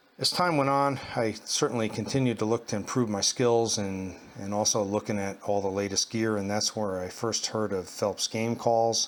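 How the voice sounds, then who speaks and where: Fairly low, relaxed male speech, fairly even in intonation at a moderate pace, amid noticeable background noise. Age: 60s. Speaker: hunting guide. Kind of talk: casual product review and personal story. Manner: relaxed, with many fillers.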